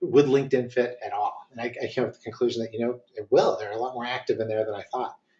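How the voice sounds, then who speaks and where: This is a man speaking. His pace is very fast. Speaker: marketing consultant. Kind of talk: webinar presentation. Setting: online webinar. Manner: hesitant, many fillers.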